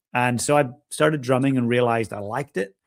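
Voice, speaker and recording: In a Northern Irish accent, a man speaks at a medium pitch with fairly even intonation. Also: very clean recording, silent background. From Northern Ireland. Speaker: executive coach and world champion drummer. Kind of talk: interview.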